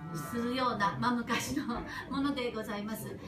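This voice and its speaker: A woman talks at a fairly quick pace. There is noticeable noise in the background. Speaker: geisha house hostess giving a speech about a local geisha district. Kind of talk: formal welcoming speech to an audience. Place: stage. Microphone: camera far.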